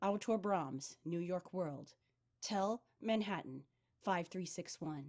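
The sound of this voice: The background is quiet. Over it comes an unforced reading voice.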